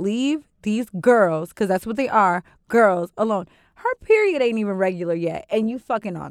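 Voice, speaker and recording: A woman's normal speaking voice, fairly high-pitched, with lively intonation and a dry, close sound free of echo. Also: moderate pace. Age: 20s. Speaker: podcast co-host. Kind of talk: casual chat.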